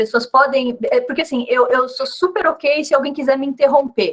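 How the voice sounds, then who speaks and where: Lively intonation and a high pitch mark a woman's speech, delivered at a moderate pace. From Brazil. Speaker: physicist, invited colloquium speaker. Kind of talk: casual setup chat before talk; academic lecture (colloquium talk). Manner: halting, many repetitions.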